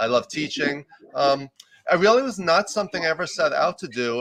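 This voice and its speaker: A man speaks with a New York accent and ordinary pitch variation. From US, New York. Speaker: executive coach and professor. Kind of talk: interview. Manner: loud and fast.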